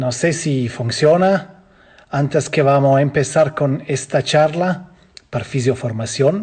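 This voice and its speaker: A man with a non-native accent speaks at a very slow pace and a fairly high pitch. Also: ordinary pitch variation. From Switzerland. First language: Swiss language (German, French or Italian) (speaking Spanish). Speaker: physiotherapy instructor. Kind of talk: online lecture. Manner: halting, with filler sounds.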